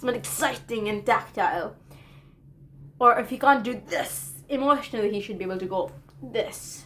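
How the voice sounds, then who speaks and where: Keeping a moderate pace, a woman speaks in a fairly high pitch with lively intonation, big swings in loudness, and long, frequent pauses. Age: 20s. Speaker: college student vlogger. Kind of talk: casual vlog monologue. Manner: hesitant, filler-heavy.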